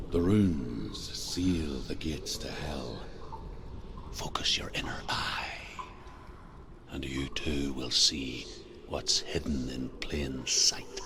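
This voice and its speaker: A man's whispering, put-on character voice at a very slow pace. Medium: machinima.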